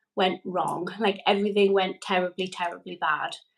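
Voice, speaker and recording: A woman talks at a moderate pace in a Geordie accent. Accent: Geordie, sounds Scottish to an American. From northeast England, Newcastle upon Tyne. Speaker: energy healer and mother. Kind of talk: casual interview.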